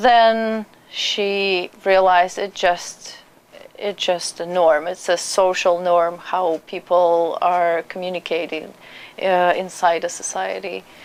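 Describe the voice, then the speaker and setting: With a Russian accent, a woman speaks at a medium pitch, very slowly, in a monotone, flat intonation. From Russia (Perm). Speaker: immigrant, trained journalist. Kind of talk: interview. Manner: halting.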